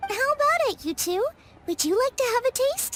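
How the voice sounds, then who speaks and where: A woman puts on a squeaky character voice pitched extremely high. She speaks at a moderate pace, and the sound is dry and close with no echo. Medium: video game. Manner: bright, eager.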